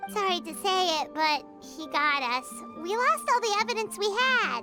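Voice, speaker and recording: Over clear music in the background, a high, squeaky put-on character voice swings very widely in pitch at a moderate pace. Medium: fan dub. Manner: excitable, exclamatory.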